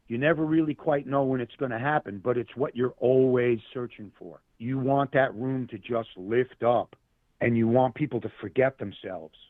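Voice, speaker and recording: At a moderate pace, a normal speaking voice shows ordinary pitch variation. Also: man, medium pitch for a man. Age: 60s. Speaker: musician. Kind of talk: casual chat.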